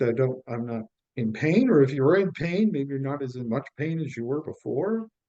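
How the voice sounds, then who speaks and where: Dark, mellow tone and lively intonation. The pace is moderate. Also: man. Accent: American. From United States. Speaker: stand-up comedian. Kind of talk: interview.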